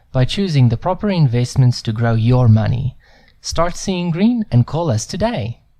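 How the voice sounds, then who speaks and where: Somewhat breathy, with a dark, mellow tone, lively intonation and a moderate pace. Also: man. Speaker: voice actor. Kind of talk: TV commercial read.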